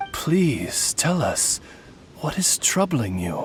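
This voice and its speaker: In a put-on character voice with a middle pitch, the speaker talks very slowly against clear background noise. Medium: video game. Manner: formal, polished.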